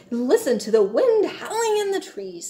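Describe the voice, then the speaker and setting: A woman performs a put-on character voice pitched extremely high. She keeps to a moderate pace. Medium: read story.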